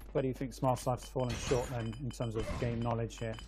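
This man speaks with an English accent. His pace is fairly quick. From England. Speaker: game caster. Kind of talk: live commentary.

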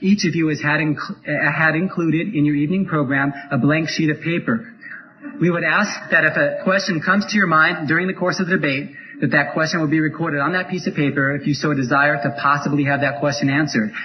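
A man's very fast speech at a very even loudness with ordinary pitch variation, over noticeable background noise. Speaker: debate moderator. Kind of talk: formal announcement to audience. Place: hall.

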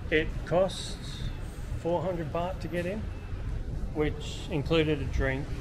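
Clearly audible background noise surrounds the man as he talks. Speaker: travel vlogger. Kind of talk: casual vlog chat. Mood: relaxed and upbeat. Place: street. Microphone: phone near.

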